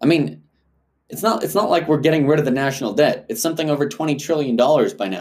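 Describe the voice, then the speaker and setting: Talking at a very fast pace, a man with a fairly high voice shows lively intonation and vocal fry. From South Africa. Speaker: podcast host. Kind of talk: solo commentary. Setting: home apartment.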